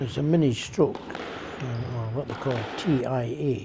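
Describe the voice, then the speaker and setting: Speaking very slowly, a man with a Scottish accent uses a medium pitch and lively intonation. The recording has audible room echo and noticeable background noise. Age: 80s+. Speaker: veteran squash player. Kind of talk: documentary interview.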